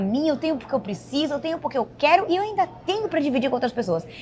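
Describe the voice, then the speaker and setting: Delivered at a very fast pace with very wide pitch swings, the voice sits over noticeable background noise. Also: woman. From Bahia, Brazil. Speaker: podcast co-host, entrepreneur. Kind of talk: casual chat.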